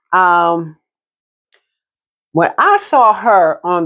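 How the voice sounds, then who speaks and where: A loud woman's voice of medium pitch at a very slow pace, against a quiet background. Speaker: realtor and vintage handbag vlogger. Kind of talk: casual show-and-tell vlog. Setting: at home desk, phone camera. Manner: chatty, relaxed.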